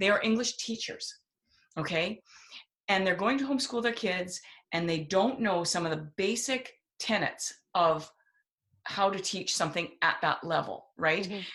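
A woman speaks at a moderate pace and medium pitch with ordinary pitch variation, leaving long, frequent pauses. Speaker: homeschooling speaker and writer. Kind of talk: casual podcast conversation.

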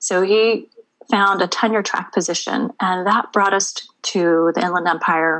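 With an American accent, a woman speaks at medium pitch and a fairly slow pace, with fairly even intonation and very even loudness, in an ordinary speaking voice. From Maryland, US. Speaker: artist. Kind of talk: interview.

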